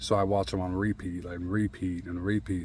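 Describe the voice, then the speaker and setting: Speaking at a fairly quick pace, a man with a very deep, low pitch keeps his intonation fairly even. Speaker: vlogger sharing mental health experiences. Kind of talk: casual personal monologue. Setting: outdoors. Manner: halting, with repetitions and filler.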